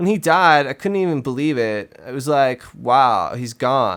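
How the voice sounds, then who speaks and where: In a very clean recording with a silent background, a man with an unremarkable speaking voice talks at a medium pitch and a fairly slow pace, his intonation lively. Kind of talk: dramatic reading of a magazine interview.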